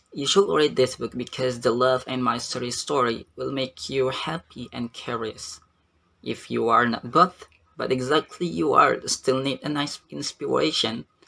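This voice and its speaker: A man's bright, sharp voice with an Indonesian accent, medium in pitch, fairly slow, with ordinary pitch variation. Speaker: university student. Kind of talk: book review. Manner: halting.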